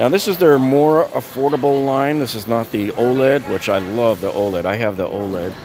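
A man talks with ordinary pitch variation in a dry sound with no echo, while clear music plays in the background. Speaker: shopping vlogger. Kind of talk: casual live-stream product commentary. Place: shop. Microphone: phone near.

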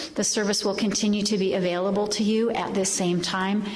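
Moderate pace from a woman's voice. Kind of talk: church announcements. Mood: warm, informative. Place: church.

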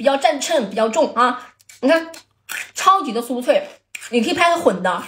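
Lively intonation with an animated tone. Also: woman. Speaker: livestream snack seller. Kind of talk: livestream sales pitch, hawking crab-roe rice crisps to viewers. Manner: rapid repetitive hawker patter, counting packs aloud and urging buyers; animated and exclamatory, laughing and joking with chat.

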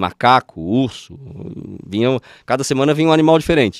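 A man's medium-pitched voice, a dry sound with no echo and a quiet background. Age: 40s. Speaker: spiritual healer; podcast guest. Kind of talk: interview. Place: studio. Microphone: studio mic.

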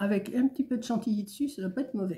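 A somewhat breathy voice with a dark, mellow tone comes through a very clean recording with a silent background. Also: woman. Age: old. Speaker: vlogger. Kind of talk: casual chat. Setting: at home. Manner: rambling, hesitant.

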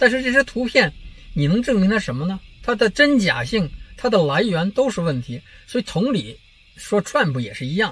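With very wide pitch swings, a man speaks at a moderate pace in a high voice, the sound dry with no echo. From China. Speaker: political commentary vlogger. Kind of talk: casual monologue vlog. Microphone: phone near.

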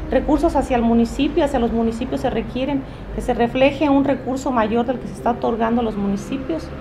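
A woman talks at a fairly quick pace in a high voice with ordinary pitch variation over noticeable background noise. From Zitácuaro, Michoacán, Mexico; Michoacán. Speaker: political candidate, lawyer; candidate, lawyer. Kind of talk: interview. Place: cafe.

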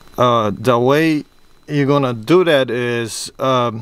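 A man at a very slow pace, with fairly even intonation and a dry sound with no echo. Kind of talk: tutorial. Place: car. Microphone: phone near.

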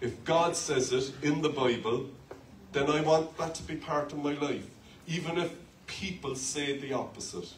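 With an Irish accent, a man talks at a fairly slow pace amid light background noise and audible room echo. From Ireland. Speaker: pastor. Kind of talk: sermon. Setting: church with live congregation. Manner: animated, call-and-response preaching with humour. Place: church. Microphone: handheld.

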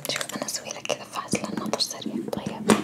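A woman whispers at a moderate pace. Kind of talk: soft role-play instructions, ASMR-like. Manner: soft close ASMR voice. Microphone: phone near.

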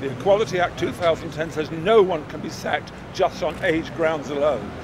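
A man is speaking. There is noticeable background noise, and the sound is dry with no echo. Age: 70s. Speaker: horse racing pundit. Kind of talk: interview answer.

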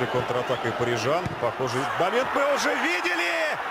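Noticeable background noise runs under the recording. A man talks in a high voice. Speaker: football commentator. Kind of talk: live sports commentary. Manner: animated.

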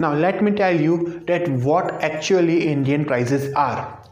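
Amid audible room echo, a man talks at a moderate pace with ordinary pitch variation. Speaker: vlogger. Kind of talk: casual vlog chat. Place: home room. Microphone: lapel.

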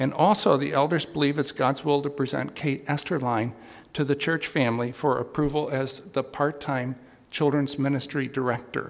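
Vocal fry marks this man's voice. He speaks at a moderate pace with fairly even intonation. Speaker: pastor giving announcements. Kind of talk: church announcements. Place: church. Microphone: podium.

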